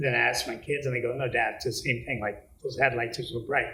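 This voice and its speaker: A man is speaking, with audible room echo. Noticeable background noise is present. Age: 60s. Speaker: interviewee on aging. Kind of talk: interview answers, storytelling. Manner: casual, conversational.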